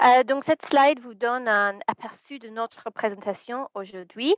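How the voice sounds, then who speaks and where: With an English accent, a woman speaks at a fairly slow pace and a high pitch, her loudness swinging widely while her pitch varies in an ordinary way, in a dry, close sound with no echo. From England. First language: English (speaking French). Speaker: environmental lawyer. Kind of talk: webinar presentation. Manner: hesitant, many fillers.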